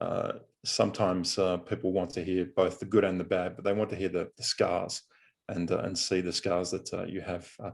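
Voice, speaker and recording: A man talks at a moderate pace with a very deep, low pitch and fairly even intonation. The background stays quiet. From Australia. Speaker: business coach and consultant. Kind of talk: podcast interview. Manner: frequent filler hesitations.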